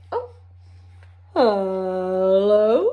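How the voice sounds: A female-sounding voice puts on a character voice at a medium pitch.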